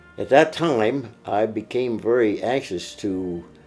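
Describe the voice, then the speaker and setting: A man with an American accent, fairly low in pitch with ordinary pitch variation, over music in the background. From Pennsylvania, USA. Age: 80s+. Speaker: WWII veteran. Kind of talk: interview answer.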